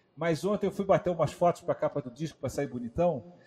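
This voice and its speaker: Music plays in the background. A man speaks with a high pitch and ordinary pitch variation. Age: 40s. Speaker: drummer and music educator. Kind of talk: casual interview on a live stream.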